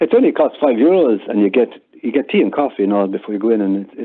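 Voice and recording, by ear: Speaking at a fast pace, a man with a fairly low pitch and a slightly husky edge shows ordinary pitch variation.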